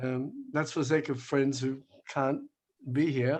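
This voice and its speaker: A man with an Australian accent at a fairly slow pace, with fairly even intonation. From Australia, Melbourne. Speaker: rabbi and human rights activist. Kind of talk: online talk with slides. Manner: hesitant, conversational.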